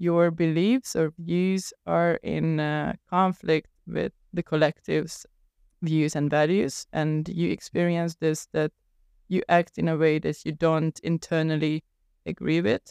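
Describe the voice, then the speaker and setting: In a Hungarian accent, a woman speaks with a dark, mellow tone and fairly even intonation, the sound dry and close with no echo. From Hungary. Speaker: podcast host. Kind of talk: interview.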